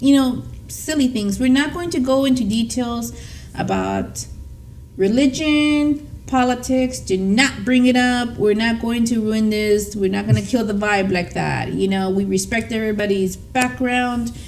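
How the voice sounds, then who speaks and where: A woman with a Spanish accent, fairly high-pitched and animated, at a fairly slow pace with ordinary pitch variation and audible room echo. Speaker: podcast co-host. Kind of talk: casual chat.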